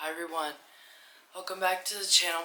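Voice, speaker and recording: A woman with a fairly low voice speaks over noticeable background noise, with audible echo in the room. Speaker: movie reviewer. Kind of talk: casual movie review monologue.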